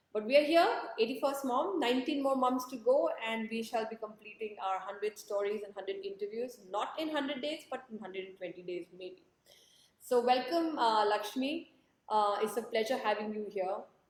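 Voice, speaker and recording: A loud woman's voice, fairly high in pitch, at a moderate pace with ordinary pitch variation. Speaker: interviewer, book project host. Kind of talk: live interview intro. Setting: livestream on social media. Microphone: possible echo.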